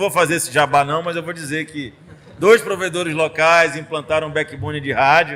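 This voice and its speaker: A man with an ordinary speaking voice, a fairly high pitch, and a moderate pace. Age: 40s. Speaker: state tech secretary, former professor. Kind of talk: casual podcast interview. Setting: studio.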